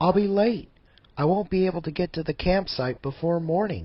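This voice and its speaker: The speaker adopts a put-on character voice and keeps to a moderate pace. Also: man, high pitch for a man. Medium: audio drama.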